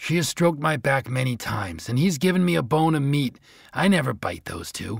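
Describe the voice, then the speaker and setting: Putting on a gruff character voice, a man speaks at a fairly high pitch and a fairly quick pace. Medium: read story. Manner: gruff, barking interjections.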